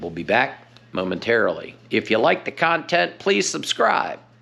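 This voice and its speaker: A man's bright, sharp voice with ordinary pitch variation at a moderate pace. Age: 60s. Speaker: fishing vlogger. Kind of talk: DIY tutorial vlog. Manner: casual, with fillers.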